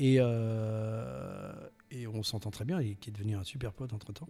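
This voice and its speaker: At a very slow pace, a man speaks with a dark, mellow tone, a medium pitch and ordinary pitch variation. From southwest France, Landes coast. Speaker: voice actor. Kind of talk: interview.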